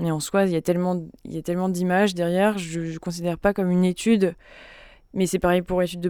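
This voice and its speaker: On a very clean recording with a silent background, a woman speaks in a dark, mellow tone with monotone, flat intonation. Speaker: pianist. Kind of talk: interview.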